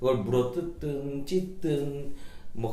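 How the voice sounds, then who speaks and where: Noticeable background noise sits beneath a man talking in a fairly high pitch. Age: 40s. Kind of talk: interview answer.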